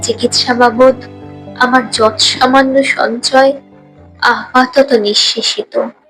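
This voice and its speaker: A woman speaks in a high pitch with fairly even intonation. Music plays in the background. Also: very even loudness. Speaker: poetry reciter. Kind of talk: poetry reading.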